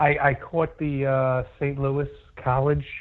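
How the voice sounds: A man's medium pitch at a slow pace, with little pitch movement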